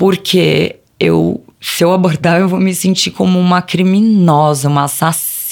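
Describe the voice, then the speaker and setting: A woman uses a normal speaking voice, fairly low in pitch, at a fairly slow pace with fairly even intonation and very even loudness. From Brazil, ABC Paulista (São Paulo state). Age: 30s. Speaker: presenter and communicator, mother. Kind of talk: interview conversation.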